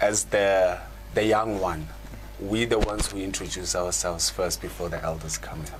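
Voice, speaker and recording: A man's very deep, low voice with very wide pitch swings at a moderate pace, amid audible room echo and noticeable background noise. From South Africa, Gauteng (East Rand). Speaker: channel host, spiritual practitioner. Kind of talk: conversational panel discussion. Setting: live online show. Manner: halting, many repetitions.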